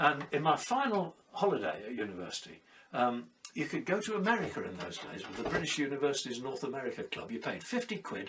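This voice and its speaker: Noticeable background noise surrounds a man talking at a very fast pace. His fairly high pitch swings very widely, and his loudness shifts a lot. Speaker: sailor and storyteller. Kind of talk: personal storytelling monologue. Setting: at home during lockdown.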